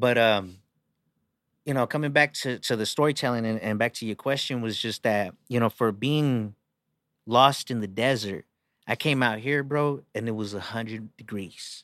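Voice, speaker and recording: A man speaks at a medium pitch and moderate pace in a plain, everyday voice. The recording is very clean and dry, with a silent background and close sound free of echo. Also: ordinary pitch variation. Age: 30s. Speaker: rapper. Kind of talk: casual chat.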